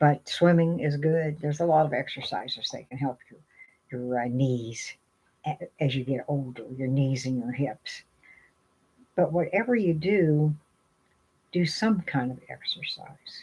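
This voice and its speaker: Very deep and low, a woman's somewhat breathy voice carries a dark, mellow tone and lively intonation. She goes at a fairly slow pace with long, frequent pauses. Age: 70s. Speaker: vlogger giving aging and wellness advice. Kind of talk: casual talk to camera. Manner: halting, with many fillers.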